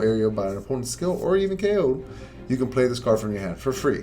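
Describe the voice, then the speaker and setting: A man's lively intonation over music in the background, with audible room echo. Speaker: card game content creator. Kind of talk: tutorial. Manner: fast; animated.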